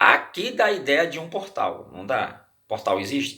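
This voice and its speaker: A man speaks with a noticeable vocal fry. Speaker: religious teacher. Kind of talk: bible study. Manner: halting.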